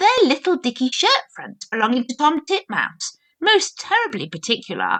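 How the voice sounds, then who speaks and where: A woman in a put-on character voice speaks at a moderate pace, her high pitch swinging very widely. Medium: read story. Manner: polite, deferential, fussy.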